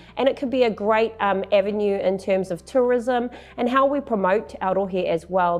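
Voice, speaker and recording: Woman with fairly even intonation over faint music in the background. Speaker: election candidate. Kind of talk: interview answer. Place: studio. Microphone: lapel.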